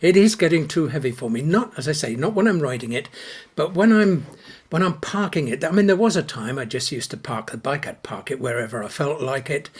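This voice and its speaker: Talking at a fairly quick clip, a man uses lively intonation in a somewhat breathy voice. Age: 70s. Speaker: actor and biker selling his motorcycle. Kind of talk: casual video monologue.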